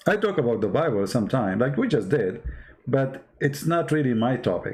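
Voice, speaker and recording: Speaking at a moderate pace with a non-native accent, a man uses a medium pitch and lively intonation. His voice is somewhat breathy and his loudness stays very even. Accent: non-native English, limited. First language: Arabic. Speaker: online religious debater. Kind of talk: live stream talk answering chat. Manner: halting.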